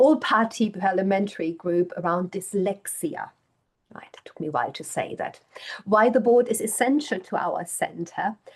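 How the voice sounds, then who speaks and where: Speaking at a moderate pace with a German accent, a woman uses medium pitch, lively intonation, and big swings in loudness. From Germany. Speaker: professor. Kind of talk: lecture.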